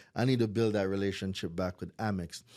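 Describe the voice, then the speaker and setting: A man with a Jamaican accent is captured in a very clean recording with a silent background. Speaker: credit repair business owner. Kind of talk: podcast interview. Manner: animated.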